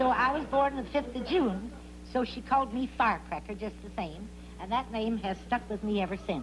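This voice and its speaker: Noticeable background noise fills the recording. Over it, a woman's speech moves at a moderate pace. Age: 70s. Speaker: game show contestant, landlady. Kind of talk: casual interview.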